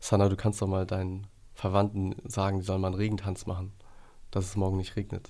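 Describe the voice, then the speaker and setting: The voice is dark and mellow in tone, moving at a fairly quick pace in a monotone, flat intonation. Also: man. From Hamburg, northern Germany. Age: 30s. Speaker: entrepreneur building a care service. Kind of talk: casual interview conversation.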